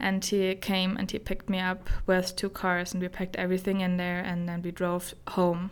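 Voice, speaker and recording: With hardly any pauses, a woman talks in a monotone, flat intonation at a medium pitch with a German accent, on a very clean recording with a silent background. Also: moderate pace. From Germany. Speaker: guest sharing her personal story. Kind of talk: testimony, personal story in interview. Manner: halting, searching for English words.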